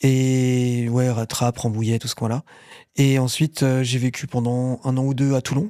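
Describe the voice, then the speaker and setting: A man's dark, mellow voice at a medium pitch, flat and monotone, at a fairly slow pace, in a very clean recording with a silent background and a dry, close sound with no echo. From Paris region, France (Argenteuil, Yvelines). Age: 40s. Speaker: burn survivor and content creator. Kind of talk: casual interview.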